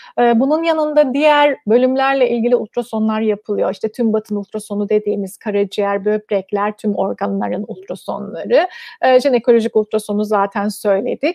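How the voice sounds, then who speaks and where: A woman speaks at a moderate pace with hardly any pauses, her voice fairly high with ordinary pitch variation. The sound is dry with no echo against a quiet background. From Cyprus. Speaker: gynecologist; guest. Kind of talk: interview. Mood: calm, friendly. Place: home room. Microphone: video call.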